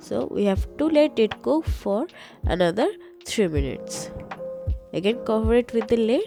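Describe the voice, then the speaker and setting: With music playing in the background, a woman talks with long, frequent pauses. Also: moderate pace. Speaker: home cook. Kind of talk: cooking tutorial voice-over.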